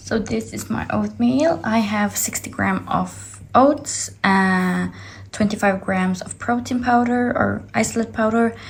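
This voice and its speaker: A woman with a non-native accent speaks at a fairly slow pace. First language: not English. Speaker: fitness athlete vlogger. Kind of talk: casual vlog. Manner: halting.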